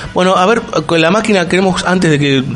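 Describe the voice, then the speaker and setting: A man with a Rioplatense accent talks very fast in a high voice for a man, his pitch varying in an ordinary way over noticeable background noise. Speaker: radio host. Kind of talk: casual chat.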